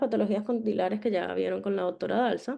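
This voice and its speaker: A woman speaks with a dark, mellow tone and vocal fry. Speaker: dentist lecturing on orthodontic imaging. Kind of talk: online lecture.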